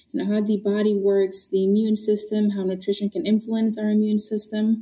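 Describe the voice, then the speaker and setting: A woman speaks at a moderate pace in a fairly high, somewhat breathy voice. Her tone is dark and mellow. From Honduras. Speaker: dietitian and nutrition professor. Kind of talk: interview chat.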